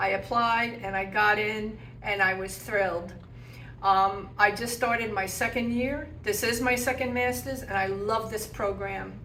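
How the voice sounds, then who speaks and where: A woman's rather high voice comes with audible echo from the room. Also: fairly even intonation, fairly slow pace. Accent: American. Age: 60s. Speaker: graduate student in social work. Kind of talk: personal testimony interview. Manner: conversational with fillers.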